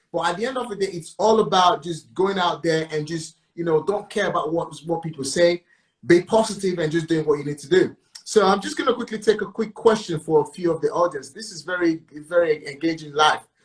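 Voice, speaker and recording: His voice sits high in pitch and moves at a fairly quick pace. The man's pitch varies in an ordinary way, while his loudness swings widely. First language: not English. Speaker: property coach and interview host. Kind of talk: live interview.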